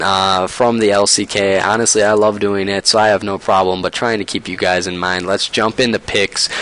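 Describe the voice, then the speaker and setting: With noticeable background noise, a man speaks at a fairly quick pace in a fairly low pitch and fairly even intonation. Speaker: esports analysis YouTuber. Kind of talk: game analysis commentary. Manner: fast; hesitant fillers.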